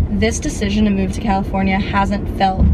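A woman's speech comes through with noticeable background noise. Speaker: vlogger. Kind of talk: casual vlog chat. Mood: reflective, slightly stressed. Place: car. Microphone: phone near.

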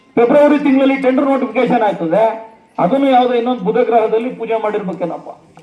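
A man speaks at an extremely high pitch with ordinary pitch variation. Noticeable background noise is present. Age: 30s. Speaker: local legislator / politician. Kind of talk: political speech at a public event.

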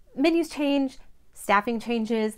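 Set against a quiet background, a woman talks at a moderate pace with ordinary pitch variation. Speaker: travel vlogger. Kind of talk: casual vlog chat. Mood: earnest, warm, sometimes serious. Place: home room. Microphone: phone near.

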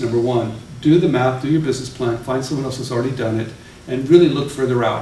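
A man talks at a very fast pace. Room echo is audible, along with light background noise. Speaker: speaker. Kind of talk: talk to an audience. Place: meeting room.

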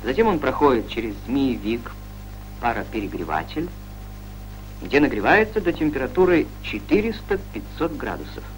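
Amid noticeable background noise, a man talks at a very slow pace with long, frequent pauses. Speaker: documentary narrator. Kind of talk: scripted narration of a 1960s Soviet educational film. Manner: formal, measured, authoritative newsreel-style delivery; even, didactic, steady pace with little emotion.

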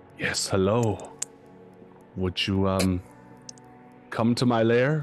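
Very slowly, a man puts on a character voice at a medium pitch. Clear music sounds behind him.

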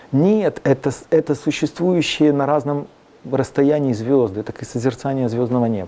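This man has a dark, mellow tone and a fairly high pitch. He talks at a moderate pace with ordinary pitch variation. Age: young. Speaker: composer; guest. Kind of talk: interview. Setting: studio. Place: studio. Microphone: lapel.

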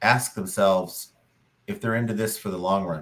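The man's tone comes across bright and sharp. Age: 50s. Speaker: podcast co-host, online reseller. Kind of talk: casual chat. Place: home room.

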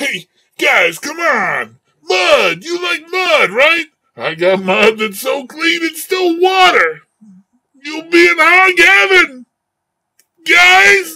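Shouting in a put-on character voice, a man speaks at an extremely high pitch and a very slow pace, with long, frequent pauses. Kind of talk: comic character dialogue. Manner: smooth-talking, persuasive, flattering.

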